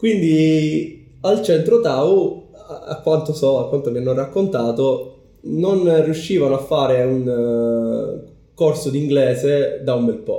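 At a very slow pace, a man speaks in a fairly high voice with ordinary pitch variation. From Sicily, Palermo. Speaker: community organizer. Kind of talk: casual interview. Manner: hesitant with fillers.

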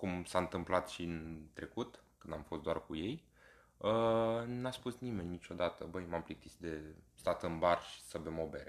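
A man's very deep, low-pitched voice at a fairly slow pace. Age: 20s. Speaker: podcast co-host, corporate PR worker. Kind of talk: casual chat.

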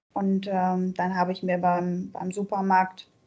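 Her words come out very slowly. A woman is the one talking. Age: 40s. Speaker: recovering alcoholic sharing her story. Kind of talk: interview. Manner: halting, many fillers.

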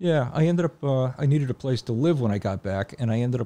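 Talking at a very fast pace, a man with a medium pitch and a dark, mellow tone shows ordinary pitch variation in a dry, close sound with no echo. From Connecticut, Hamden. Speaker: drummer. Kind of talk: casual chat. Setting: studio.

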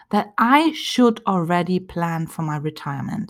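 A woman speaks with a German accent, somewhat breathy, her pitch swinging very widely. The recording is very clean, with a silent background. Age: 40s. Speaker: therapist and life coach podcast host. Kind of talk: solo motivational talk.

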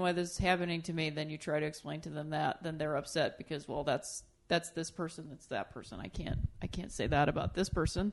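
A woman with a normal speaking voice and an American accent talks at a fairly quick pace and a fairly low pitch. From Ohio, Akron. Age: 30s. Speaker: comedian. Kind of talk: casual chat. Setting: studio.

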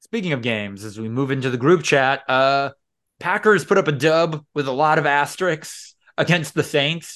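The speaker has a normal speaking voice with lively intonation, delivered at a moderate pace. The background is quiet. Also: man, fairly high pitch for a man. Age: 20s. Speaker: podcast host. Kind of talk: casual chat.

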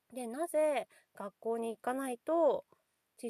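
Lively intonation from a woman, the sound dry and close with no echo. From Nagasaki, Japan (fishing town). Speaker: podcast host, kindergarten staff, mother. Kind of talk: casual monologue. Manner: halting, many fillers.

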